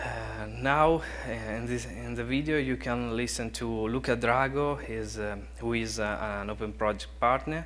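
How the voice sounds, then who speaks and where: A man talks at a fairly slow pace in an Italian accent, with hardly any pauses. Audible room echo surrounds his voice. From Italy, Bologna. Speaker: conference speaker on BIM implementation. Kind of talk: conference class presentation. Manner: halting, many fillers.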